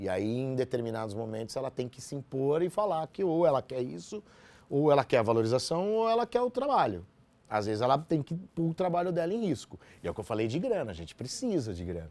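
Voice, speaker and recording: Using very wide pitch swings, a man with a medium pitch speaks at a fairly quick pace. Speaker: radio announcer. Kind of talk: interview.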